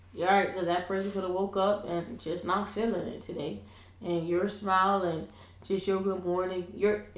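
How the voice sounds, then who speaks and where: A woman of medium pitch speaks at a moderate pace with monotone, flat intonation. There is noticeable background noise and audible room echo. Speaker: school coach and podcast co-host. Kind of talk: casual chat. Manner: loud.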